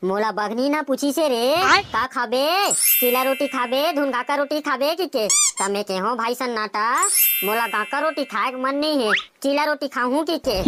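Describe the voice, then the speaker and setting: A cartoonish character voice with a high pitch, delivered at a moderate pace. Clear background noise is present. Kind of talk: comic village banter. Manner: boastful, chatty.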